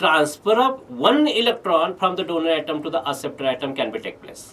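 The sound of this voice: Lively intonation from a man with a fairly bright tone and a fairly high pitch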